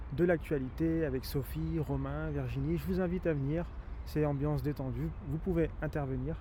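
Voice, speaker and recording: The speech comes at a fairly quick pace with audible room echo. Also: man. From France, Rhône valley near Vienne (Isère). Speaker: nature guide and YouTuber. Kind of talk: outdoor vlog commentary. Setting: outdoors by the river at sunset. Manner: hesitant, many fillers; soft-spoken, quiet.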